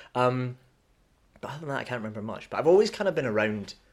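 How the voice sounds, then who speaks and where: A man with a Scottish accent is heard in a very clean recording with a silent background. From Scotland, Dunblane. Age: 20s. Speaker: musical theatre performer. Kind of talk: casual chat.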